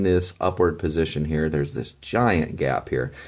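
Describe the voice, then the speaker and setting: Quietly and at a moderate pace, a man speaks with ordinary pitch variation on a very clean recording with a silent background. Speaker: toy reviewer. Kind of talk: product review. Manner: quiet, low energy; hesitant, many fillers.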